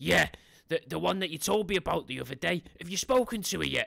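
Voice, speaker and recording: Putting on a character voice, a man speaks high in pitch at a fairly quick pace. The sound is dry and close, with no echo. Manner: casual, pretending a phone call.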